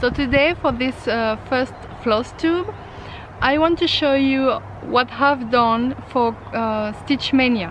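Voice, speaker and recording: With a French accent, a woman talks very slowly in a high voice with ordinary pitch variation. There is noticeable background noise. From France. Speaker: craft vlogger, mixed media artist. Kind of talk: casual vlog. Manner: halting, many fillers.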